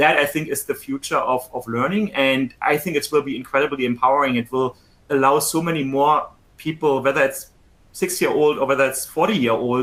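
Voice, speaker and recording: Speaking at a fairly quick pace in a German accent, a man uses a fairly high pitch and fairly even intonation. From Germany. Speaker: tech company executive. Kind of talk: conversation on a conference stage.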